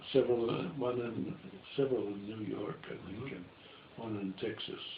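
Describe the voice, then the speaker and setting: Male voice of medium pitch with ordinary pitch variation, at a fairly quick pace, over noticeable background noise. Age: 80s+. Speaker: stop-motion filmmaker. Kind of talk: interview answer. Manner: hesitant, halting.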